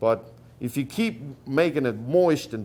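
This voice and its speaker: Lively intonation from a man at medium pitch, with a non-native accent. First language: not English. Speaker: rawhide braider. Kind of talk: tutorial talk. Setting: workshop gathering with audience. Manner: halting.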